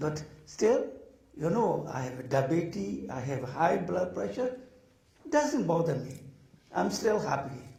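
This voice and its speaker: Amid noticeable background noise and audible room echo, a man with a fairly high pitch speaks at a fairly slow pace, making very wide pitch swings and long, frequent pauses. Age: 70s. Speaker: Buddhist teacher. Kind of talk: dharma talk.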